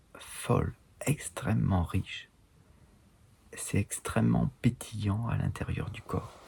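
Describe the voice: A man puts on a hoarse character voice and speaks at a fairly slow pace.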